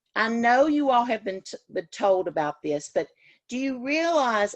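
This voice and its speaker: A woman's fairly high voice with very wide pitch swings in a dry, close sound with no echo. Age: 60s. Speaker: teacher educator. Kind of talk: lecture. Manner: casual.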